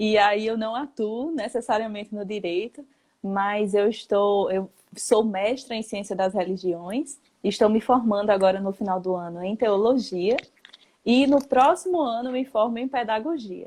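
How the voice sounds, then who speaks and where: A woman with a northeastern Brazilian accent, fairly high pitch and ordinary pitch variation, at a fairly slow pace. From Northeast Brazil, Paraíba. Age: 20s. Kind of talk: casual chat. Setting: Instagram live.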